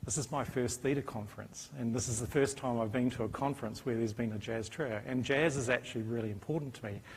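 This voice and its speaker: Heard with audible room echo, a man with a New Zealand accent speaks somewhat breathily with ordinary pitch variation. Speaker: professor. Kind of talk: conference talk.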